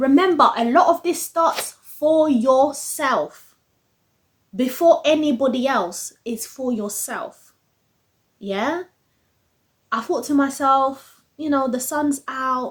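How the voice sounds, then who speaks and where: Pausing long and often, a woman talks at a very slow pace in a high pitch. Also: ordinary pitch variation. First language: not English. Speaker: self-improvement vlogger. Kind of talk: casual motivational vlog. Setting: home office at desk. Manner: conversational, full of fillers.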